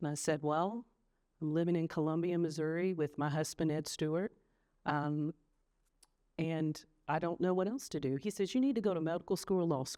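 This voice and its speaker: A woman with a North Carolina accent talks at a fairly quick pace in a dark, mellow, fairly low voice with ordinary pitch variation, leaving long, frequent pauses against a quiet background. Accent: Southern US (North Carolina). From US South, High Point, North Carolina. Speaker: trial lawyer. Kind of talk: interview.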